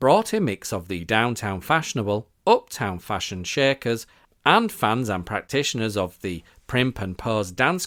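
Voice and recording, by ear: Here a person reads aloud, using a natural voice.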